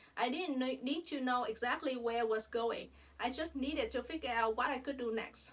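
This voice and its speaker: With a Vietnamese accent, a woman speaks in a high voice at a fairly quick pace. Her loudness stays very even, and her pitch variation is ordinary. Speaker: dentist. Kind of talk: personal reflection monologue.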